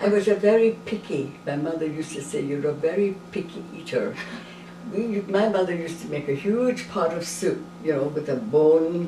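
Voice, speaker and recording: A woman speaks at a fairly low pitch with ordinary pitch variation. The recording has audible room echo and noticeable background noise. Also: moderate pace. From Scotland, Clydebank. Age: 90s. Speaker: interviewee. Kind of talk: interview.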